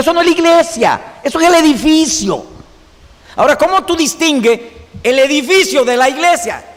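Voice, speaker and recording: A man rushes along at a very fast pace with ordinary pitch variation, noticeable background noise behind him. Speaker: Bible teacher. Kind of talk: lecture.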